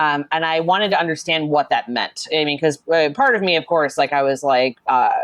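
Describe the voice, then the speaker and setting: A woman with an American accent and a very deep, low pitch, an animated tone, ordinary pitch variation, very even loudness and a fairly quick pace with hardly any pauses. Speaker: social media manager and RPG writer. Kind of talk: casual interview chat. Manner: animated, many fillers.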